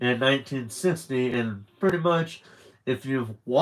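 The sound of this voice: The speaker uses an unforced reading voice. The delivery is an unforced reading voice throughout.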